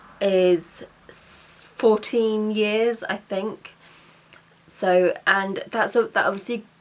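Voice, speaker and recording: A woman with a British accent speaks at a very slow pace. Her intonation is monotone and flat. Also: fairly high pitch for a woman. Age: 20s. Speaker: vlogger and mature student. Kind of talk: casual vlog chat. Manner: stumbling over words.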